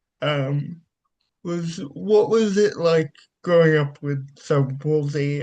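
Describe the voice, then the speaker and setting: With a Welsh accent, a man talks at a very slow pace and a fairly high pitch. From South Wales. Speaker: podcast host. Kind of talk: interview.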